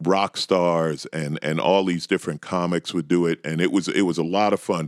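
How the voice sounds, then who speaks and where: In an American accent, a man with a very deep, low pitch speaks with fairly even intonation, in a dry, close sound with no echo and a very clean recording with a silent background. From New York. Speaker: stand-up comedian. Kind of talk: casual chat.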